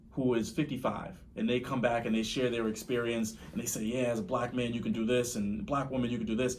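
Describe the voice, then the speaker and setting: Audible room echo surrounds this man's voice. He speaks at a fairly quick pace and a medium pitch. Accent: American. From Boston, Dorchester. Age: 30s. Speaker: real estate investor. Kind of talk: podcast interview.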